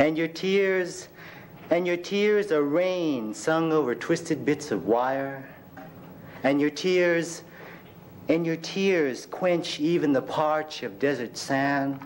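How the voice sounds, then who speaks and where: Light background noise sits under a man's voice. He speaks at a very slow pace with ordinary pitch variation. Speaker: poet. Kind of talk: poet reading own poems aloud at a live reading. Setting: stage with audience at a university reading. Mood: expressive, emotional delivery. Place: classroom. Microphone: podium.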